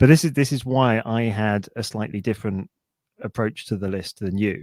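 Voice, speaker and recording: Speaking at a moderate pace with a British accent, a man uses a fairly low pitch and ordinary pitch variation, the sound dry and close with no echo. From United Kingdom. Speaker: podcast co-host. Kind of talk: casual chat.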